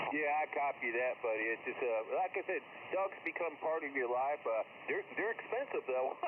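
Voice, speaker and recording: Amid noticeable background noise, the speaker keeps a moderate pace with lively intonation and very even loudness. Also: man, fairly high pitch for a man. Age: 60s. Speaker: amateur radio operator. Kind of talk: casual radio chat. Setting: ham radio contact.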